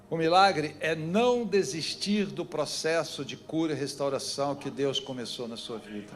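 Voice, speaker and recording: Speaking at a fairly high pitch and a fairly slow pace, a man barely pauses while his loudness swings widely. Audible room echo and noticeable background noise fill the recording. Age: 70s. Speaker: pastor. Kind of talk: sermon. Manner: animated.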